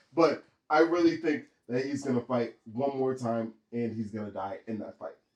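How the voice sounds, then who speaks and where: A man with a normal speaking voice talks at medium pitch and a moderate pace, showing ordinary pitch variation and big swings in loudness. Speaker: podcast co-host. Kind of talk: casual chat. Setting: hot room.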